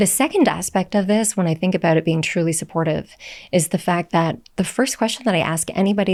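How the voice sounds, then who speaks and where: This woman talks at a fairly quick pace with a medium pitch. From Canada. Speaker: nutritionist and somatic healer. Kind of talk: interview conversation. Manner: soothing.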